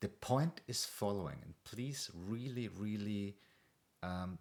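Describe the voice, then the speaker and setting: A man with an Austrian accent, fairly low in pitch, with ordinary pitch variation at a fairly slow pace. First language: German. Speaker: meditation coach. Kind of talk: casual talk to camera. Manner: hesitant, with fillers.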